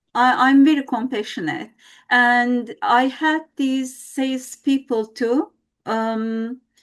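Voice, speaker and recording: Speaking very slowly with lively intonation and a Turkish accent, the voice comes through on a very clean recording with a silent background. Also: woman. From Turkey. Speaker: team member, former radio journalist. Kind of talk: podcast interview. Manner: halting.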